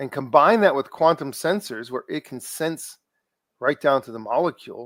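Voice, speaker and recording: This man's tone is animated, with lively intonation at a moderate pace. The recording is very clean with a silent background, and the sound is dry and close with no echo. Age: 60s. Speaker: technology expert guest. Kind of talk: casual chat. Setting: live podcast.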